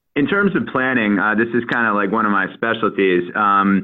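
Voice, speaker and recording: A man talks at a medium pitch and a moderate pace. He has an unremarkable speaking voice with ordinary pitch variation. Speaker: travel expert. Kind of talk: radio interview.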